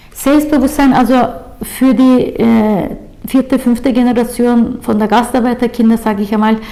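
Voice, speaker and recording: Over noticeable background noise, a speaker with a Turkish accent talks at a moderate pace with monotone, flat intonation and very even loudness. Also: woman, high pitch for a woman. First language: Turkish (speaking German). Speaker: labour chamber councillor. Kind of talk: interview. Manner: halting, many filler sounds.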